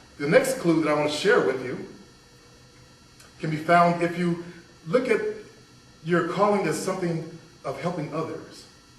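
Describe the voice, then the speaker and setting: Through noticeable background noise and audible room echo, a man with a high pitch talks at a moderate pace, using ordinary pitch variation and long, frequent pauses. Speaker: toastmaster speaker. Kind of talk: motivational speech.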